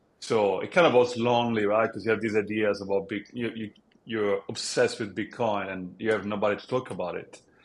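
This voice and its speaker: On a very clean recording with a silent background, a man speaks at a moderate pace in a fairly low, monotone voice. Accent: Italian. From Italy. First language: Italian. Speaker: app founder. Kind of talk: podcast interview.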